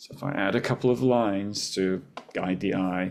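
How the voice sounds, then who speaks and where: Over a very clean recording with a silent background, a man speaks in a fairly low pitch with ordinary pitch variation and an unremarkable speaking voice. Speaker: professor. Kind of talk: lecture.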